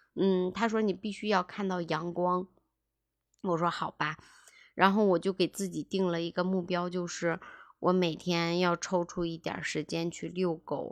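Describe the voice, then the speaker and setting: A woman speaks fairly slowly in a fairly low, monotone, flat voice, the sound dry and close with no echo on a very clean recording with a silent background. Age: 30s. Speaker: podcast host, former real estate agent. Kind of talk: personal monologue podcast. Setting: home.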